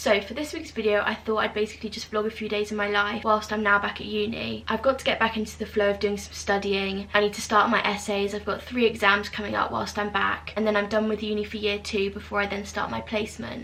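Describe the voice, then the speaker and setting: Amid noticeable background noise, a woman talks very fast at medium pitch in a monotone, flat intonation, with hardly any pauses. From UK. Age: 20s. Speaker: university student. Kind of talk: casual vlog talk to camera.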